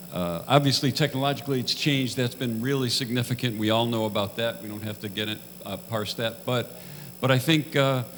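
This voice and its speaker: A man's medium-pitched voice moves fairly quickly, with ordinary pitch variation. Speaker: retired musician. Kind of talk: panel discussion. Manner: halting.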